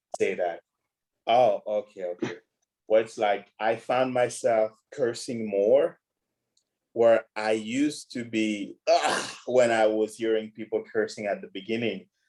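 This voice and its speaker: A man speaks at a fairly slow pace. He has a strong non-native accent. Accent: huge foreign. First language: not English. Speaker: podcast guest. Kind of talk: casual chat.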